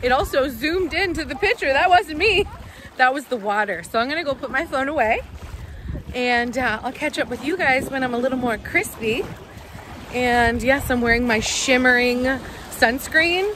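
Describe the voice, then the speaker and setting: A raised, projected voice with lively intonation moves at a moderate pace, with a dry sound with no echo and light background noise. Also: woman. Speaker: family vlogger. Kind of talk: casual vlog chat. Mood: playful, amused. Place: beach. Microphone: phone near.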